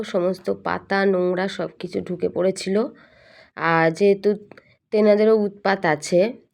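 The woman's voice sits at a medium pitch with a monotone, flat intonation. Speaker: lifestyle vlogger. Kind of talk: casual vlog narration.

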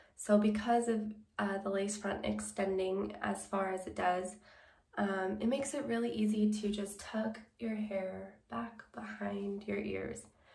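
Fairly slow speech from a woman amid audible room echo. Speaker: wig reviewer. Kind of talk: product review chat. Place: home room.

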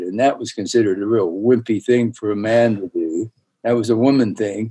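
Against a quiet background, a man speaks at a medium pitch in a dark, mellow tone with fairly even intonation. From US West, northern Utah. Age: 80s. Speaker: dentist and educator. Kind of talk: interview. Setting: video call. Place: office. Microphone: webcam.

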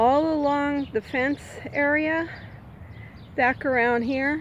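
A woman speaks in a high voice with ordinary pitch variation. The sound is dry with no echo, and there is light background noise. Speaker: vlogger. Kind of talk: casual vlog chat. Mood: cheerful, relaxed. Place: bicycle. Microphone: phone near.

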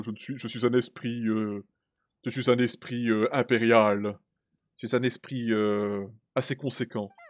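In a put-on character voice, a booming speaker goes at a fairly slow pace with monotone, flat intonation and long, frequent pauses. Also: man, medium pitch for a man. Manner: imperious, pompous.

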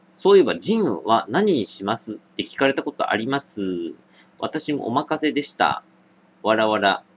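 Vocal fry runs through a man's fairly high voice. His pitch swings very widely at a moderate pace. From Japan, Niigata; Japan. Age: 20s. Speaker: drinking video creator; drinking livestreamer. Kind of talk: casual solo vlog monologue; casual vlog chat, responding to viewer comments. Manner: casual, many fillers. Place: home room. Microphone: webcam.

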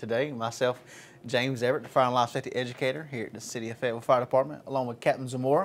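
Talking at a very fast pace, a man keeps his intonation fairly even. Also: medium pitch for a man.

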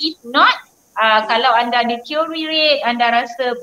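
With fairly even intonation, a woman speaks at a high pitch, and audible room echo surrounds her. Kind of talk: interview answer, health advice. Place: office. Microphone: video call.

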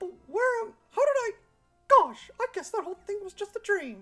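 A squeaky, put-on character voice at an extremely high pitch moves at a moderate pace, with faint music in the background. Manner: bewildered, cartoonish.

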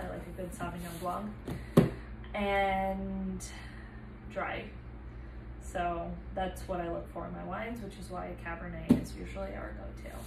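A woman at a fairly slow pace, with long, frequent pauses over loud background noise. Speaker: wine vlogger. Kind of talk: casual vlog chat. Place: kitchen. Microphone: camera far.

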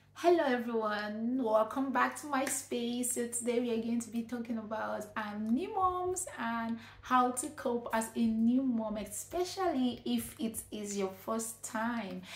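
With a Nigerian accent, a woman speaks at a fairly slow pace with hardly any pauses and ordinary pitch variation, her voice carrying audible room echo. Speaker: vlogger, nurse and midwife. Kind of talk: advice vlog. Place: home room.

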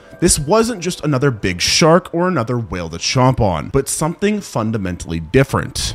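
Very wide pitch swings at a moderate pace, with music in the background. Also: man. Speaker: science video narrator. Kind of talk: documentary commentary. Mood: sarcastic, dramatic, humorous. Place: home room. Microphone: studio mic.

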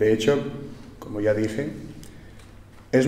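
Room echo can be heard around this man's voice. He takes a fairly slow pace. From Spain. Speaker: entrepreneur and book author; presenter. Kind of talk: formal speech. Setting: stage with audience. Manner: formal. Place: hall. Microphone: podium.

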